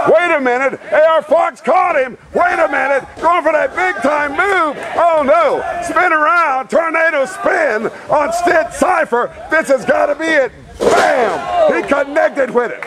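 The speaker sounds animated, talking at a fairly slow pace with ordinary pitch variation. Crowd noise can be heard in the background. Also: man, extremely high pitch for a man. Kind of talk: wrestling commentary. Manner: animated, building to a shout at the finish.

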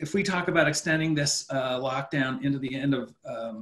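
A man with a fairly high pitch speaks at a fairly slow pace in a somewhat breathy voice. His pitch varies in an ordinary way, and the background is quiet. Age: 50s. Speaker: finance professor. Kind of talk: webinar lecture with Q&A. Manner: halting, repeats words. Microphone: webcam.

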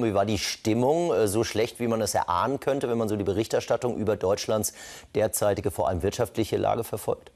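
A man talks at a very fast pace against a quiet background. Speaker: TV news presenter interviewer. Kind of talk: news interview. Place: studio. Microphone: lapel.

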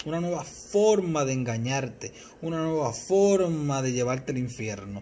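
A man with a fairly high, somewhat breathy voice talks at a fairly slow pace over light background noise. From Puerto Rico, Mayagüez; Puerto Rico. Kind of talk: religious teaching talk. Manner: halting, repeats words. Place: home room. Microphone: phone near.

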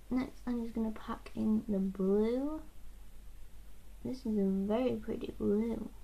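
Mumbling, a woman speaks in a somewhat breathy voice with a dark, mellow tone and long, frequent pauses. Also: ordinary pitch variation, fairly slow pace. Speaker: makeup vlogger. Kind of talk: casual talk to camera. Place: home room. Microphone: webcam.

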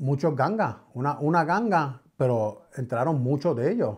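With only a quiet background behind him, a man's voice sits at a fairly high pitch. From New York City, Bronx (Puerto Rican family). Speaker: podcast guest. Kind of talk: testimony. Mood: reflective, earnest. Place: studio. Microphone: studio mic.

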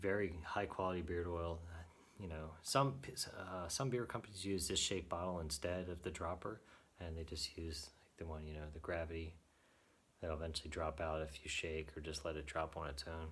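A man's very deep, low voice at a moderate pace, with ordinary pitch variation. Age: 30s. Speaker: beard product reviewer. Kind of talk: product review monologue. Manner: casual with frequent fillers. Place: home room. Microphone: phone near.

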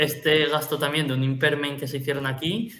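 Using a plain, everyday voice, a man speaks at a fairly quick pace in a fairly high pitch. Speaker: finance podcast host. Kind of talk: financial analysis; casual chat.

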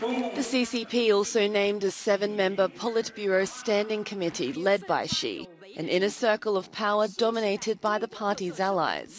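Over noticeable background noise, the speech moves at a moderate pace with ordinary pitch variation and hardly any pauses. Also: woman, medium pitch for a woman. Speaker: news anchor. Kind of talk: news reading.

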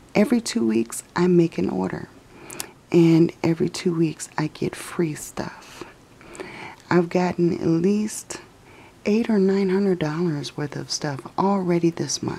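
Her pitch fairly low and its variation ordinary, a woman speaks at a fairly slow pace. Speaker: mom and lifestyle vlogger. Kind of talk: casual screen-recording tutorial. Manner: whispered. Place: home room. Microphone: phone near.

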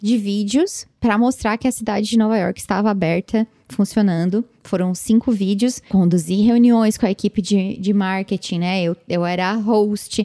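A woman speaks with a dark, mellow tone and ordinary pitch variation, at a fairly slow pace. The sound is dry with no echo, over a quiet background. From Brazil. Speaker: podcast host, content creator. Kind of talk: solo podcast monologue, casual reflection. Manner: casual, with fillers and repetitions. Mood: reflective, warm. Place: home room. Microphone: studio mic.

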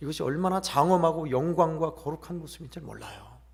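A man with a fairly high pitch talks at a moderate pace, and room echo is audible. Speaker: pastor. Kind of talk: sermon. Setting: church.

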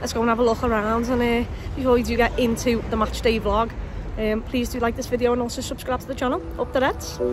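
A woman's high-pitched, very fast, monotone and flat delivery, dry with no echo, over music in the background. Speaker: football fan vlogger. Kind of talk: casual vlog chat. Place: street. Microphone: phone near.

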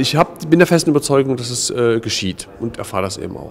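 A man talks at a moderate pace with ordinary pitch variation as light background noise plays behind him. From East Germany. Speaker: contemporary witness, former political prisoner; witness. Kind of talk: interview. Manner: halting, many filler sounds. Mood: calm, reflective. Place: hall.

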